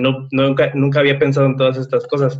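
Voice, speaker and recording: This is a man at a medium pitch. He talks at a moderate pace. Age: 20s. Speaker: content creator and podcaster. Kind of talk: casual interview.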